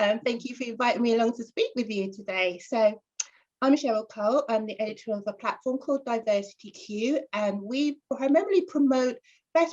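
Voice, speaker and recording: A woman's fairly high voice with a London accent, lively intonation and a moderate pace. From North London. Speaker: journalist and editor. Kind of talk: interview.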